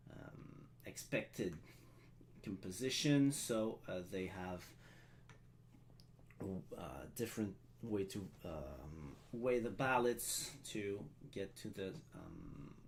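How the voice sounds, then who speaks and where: In a French accent, a man speaks very slowly at a fairly low pitch with lively intonation, big swings in loudness, and long, frequent pauses. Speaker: live stream event host. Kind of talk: live stream ceremony hosting. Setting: live stream. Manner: halting, many filler sounds.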